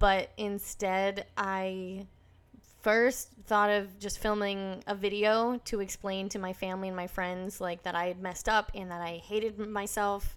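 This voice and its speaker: With an American accent, a woman speaks at a fairly slow pace in a flat monotone at medium pitch. The recording is very clean, with a silent background. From US Northeast (northern New Hampshire). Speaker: YouTuber. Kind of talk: casual chat. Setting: podcast interview.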